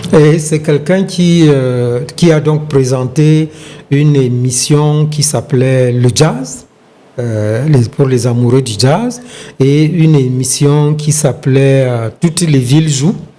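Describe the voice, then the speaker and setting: A man talks at a very slow pace, his pitch fairly high with ordinary variation. Noticeable background noise runs underneath. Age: 70s. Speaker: retired sports journalist and broadcaster. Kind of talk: interview answer.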